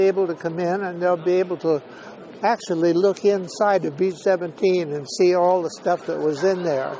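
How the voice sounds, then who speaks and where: Noticeable background noise sits behind a man with an American accent. He speaks at a high pitch and a moderate pace. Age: 80s+. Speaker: WWII veteran, former B-17 tail gunner. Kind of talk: interview answer.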